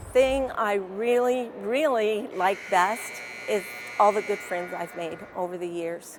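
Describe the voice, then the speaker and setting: Speaking at a very slow pace, a woman with a medium pitch makes very wide pitch swings over noticeable background noise. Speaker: senior basketball player. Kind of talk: interview.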